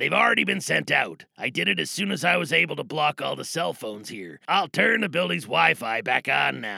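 A man does a raspy, put-on character voice at a fairly high pitch, making very wide pitch swings at a moderate pace with hardly any pauses. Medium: audio drama. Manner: deadpan, precise, procedural.

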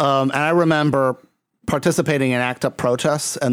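This is an unremarkable speaking voice. It moves at a moderate pace with fairly even intonation. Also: man. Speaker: podcast host. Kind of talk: casual chat.

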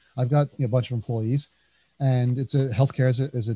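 Speaking at a fairly quick pace with a New Jersey accent, a man has a medium-pitched, somewhat breathy voice with a dark, mellow tone on a dry, close recording with no echo. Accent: New Jersey American. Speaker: podcast host, consultancy founder. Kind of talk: interview.

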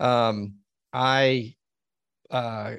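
A man with an American accent talks at medium pitch with fairly even intonation. The background is quiet and the sound is dry and close, with no echo. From Texas, Dallas. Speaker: lawyer. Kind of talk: interview. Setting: studio. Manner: halting.

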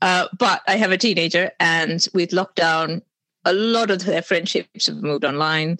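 A woman speaks at a moderate pace in an unremarkable speaking voice. Her pitch sits fairly low, with ordinary variation. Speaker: author. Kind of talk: casual interview chat.

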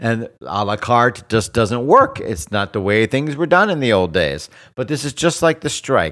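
An animated man with an American accent talks at medium pitch with very wide pitch swings and vocal fry. He barely pauses, and the recording is very clean with a silent background. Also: moderate pace. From South Florida. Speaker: entertainment podcast co-host. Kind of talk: casual chat.

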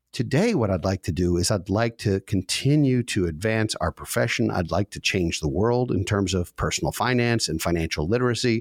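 A man with a fairly low pitch talks at a fairly quick pace with hardly any pauses. His intonation is lively, and the sound is dry and close with no echo. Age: 50s. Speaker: financial advisor. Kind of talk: casual chat. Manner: halting.

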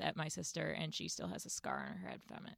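This woman has an American accent. The recording is very clean, with a silent background and a dry, close sound with no echo. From US South, Winston-Salem, North Carolina. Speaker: comedy writer and editor. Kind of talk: casual interview chat.

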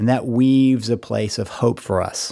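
A man talks in a normal speaking voice, his pitch sitting mid-range. His delivery moves at a moderate speed. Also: very clean recording, silent background. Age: 50s. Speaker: podcast host and counselor. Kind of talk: solo monologue. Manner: reflective, conversational.

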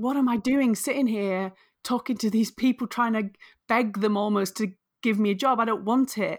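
A woman's fairly high voice with a northern English accent, fairly even intonation, very even loudness and a moderate pace, in a very clean recording with a silent background. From northern England. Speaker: author and career coach. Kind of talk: interview.

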